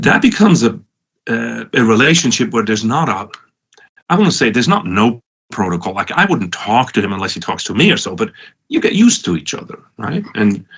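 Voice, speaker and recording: The speaker has a Swiss accent and talks at a fairly quick pace. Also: man. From Switzerland, Lucerne area. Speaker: professor and entrepreneur. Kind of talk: conference talk. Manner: halting, many restarts.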